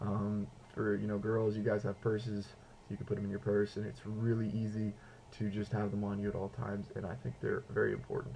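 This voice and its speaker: At a fairly quick pace, a man talks in an unremarkable speaking voice pitched fairly low. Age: 20s. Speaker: video blogger, student with diabetes. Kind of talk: video blog tutorial. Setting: home apartment. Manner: casual, filler-heavy.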